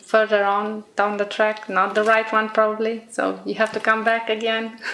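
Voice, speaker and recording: The speaker has a Romanian accent. Noticeable background noise can be heard. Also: woman. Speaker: exam candidate. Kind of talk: speaking test interview. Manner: hesitant.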